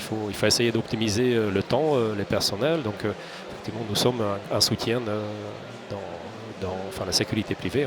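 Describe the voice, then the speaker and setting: A man speaks at a moderate pace in a fairly low voice. His intonation stays fairly even over noticeable background noise. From Hungary. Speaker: security company executive, ex-legionnaire. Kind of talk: interview. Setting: studio. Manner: halting, many repetitions.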